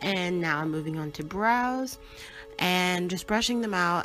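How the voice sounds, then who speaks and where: Music plays behind a woman speaking at a medium pitch with ordinary pitch variation. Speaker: makeup tutorial creator. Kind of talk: makeup tutorial voiceover. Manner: casual, chatty.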